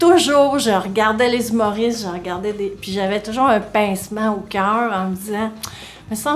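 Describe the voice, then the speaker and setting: At a moderate pace, a woman speaks in a medium pitch with ordinary pitch variation, amid noticeable background noise and audible room echo. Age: 60s. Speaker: comedian. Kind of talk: interview.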